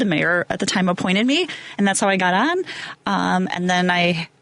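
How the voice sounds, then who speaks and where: A woman with an American accent talks at a fairly quick pace with very even loudness over noticeable background noise. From northern Illinois, US Midwest. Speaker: village trustee. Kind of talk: interview.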